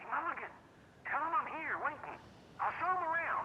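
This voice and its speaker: An extremely high-pitched, put-on character voice at a fairly quick pace, over clear background noise. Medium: video game. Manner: loud, complaining.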